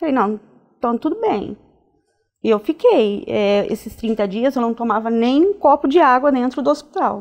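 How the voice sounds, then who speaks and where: The woman's voice sits at high pitch with lively intonation. She keeps a moderate pace. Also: quiet background. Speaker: nurse; interview guest. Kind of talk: interview. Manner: halting, many fillers. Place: studio. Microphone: lapel.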